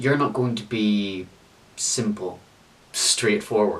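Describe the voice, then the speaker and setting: A man speaks with a Belfast accent at a fairly slow pace. Noticeable background noise runs behind him. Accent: Belfast Northern Irish. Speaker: spoken word poet. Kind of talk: spoken word poetry performance.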